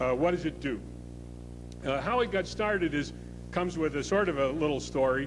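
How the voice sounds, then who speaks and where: A man talks at a fairly quick pace, with long, frequent pauses. Room echo is audible. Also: very even loudness. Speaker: public policy scholar. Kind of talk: conference speech. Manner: loud; hesitant, many filler words.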